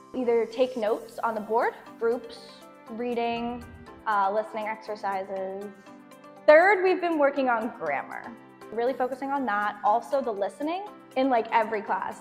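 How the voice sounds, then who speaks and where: Long, frequent pauses and an enthusiastic tone, with music in the background. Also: woman, fairly high pitch for a woman, moderate pace. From Boston, Massachusetts. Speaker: student intern teacher. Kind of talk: interview answer. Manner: casual, enthusiastic.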